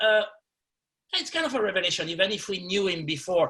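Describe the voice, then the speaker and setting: With a French accent and lively intonation, a man speaks in a bright, sharp tone. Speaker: film journalist moderating panel. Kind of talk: panel moderation. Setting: webinar video call. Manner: halting.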